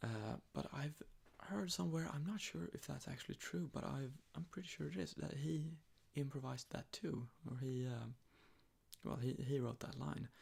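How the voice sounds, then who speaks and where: Soft-spoken and somewhat breathy, a man at a medium pitch talks at a moderate pace with very wide pitch swings. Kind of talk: ASMR sleep talk. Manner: rambling, hesitant.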